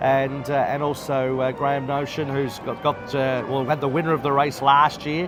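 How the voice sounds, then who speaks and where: Music plays in the background as a man with an Australian accent talks at a fairly quick pace. His pitch is fairly high and his intonation fairly even. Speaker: race caller. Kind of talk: interview answer. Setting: bar at a racetrack.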